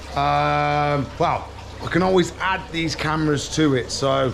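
This is a man speaking. Light background noise can be heard. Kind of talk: casual vlog chat. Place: shop. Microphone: phone near.

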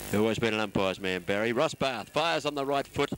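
A man with an Australian accent, talking at a very fast pace. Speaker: football commentator. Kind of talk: live commentary.

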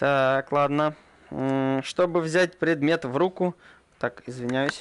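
The speech moves at a very slow pace with fairly even intonation. The sound is dry with no echo, over light background noise. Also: man. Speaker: gaming channel host. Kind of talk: gameplay commentary. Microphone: earbuds.

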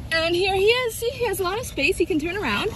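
Over noticeable background noise, a woman speaks at an extremely high pitch. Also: dry sound with no echo. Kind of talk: casual vlog chat. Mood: cheerful, affectionate. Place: street. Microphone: phone near.

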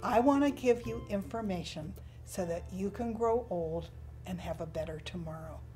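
Over music in the background, a woman talks at a moderate pace. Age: 70s. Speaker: health coach and podcast host. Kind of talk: podcast monologue on health and food industry.

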